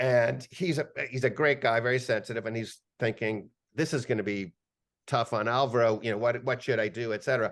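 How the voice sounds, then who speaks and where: With a quiet background, a man at medium pitch speaks at a fairly quick pace with ordinary pitch variation. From Cuba, raised from age 4-5 in Bronxville, New York. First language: Spanish. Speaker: media executive. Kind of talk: podcast interview, personal storytelling.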